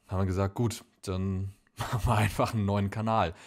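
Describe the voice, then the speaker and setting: A man speaks in a flat, monotone delivery at a fairly low pitch. The recording is very clean, with a silent background. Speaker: film podcast host. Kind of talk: casual announcement to camera.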